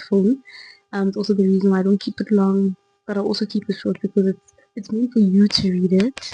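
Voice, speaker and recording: Soft-spoken delivery at a fairly quick pace. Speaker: Bible study vlogger. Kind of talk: casual devotional talk. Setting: home recording at night.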